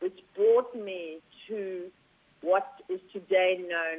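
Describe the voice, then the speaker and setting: With a South African accent, a woman speaks at a very slow pace, her medium pitch held in fairly even intonation. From South Africa, rural Zulu. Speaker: company founder. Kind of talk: interview.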